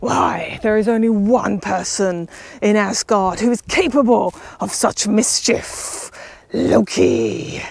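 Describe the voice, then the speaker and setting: A woman speaks in a put-on character voice at medium pitch and a fairly slow pace. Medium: read story.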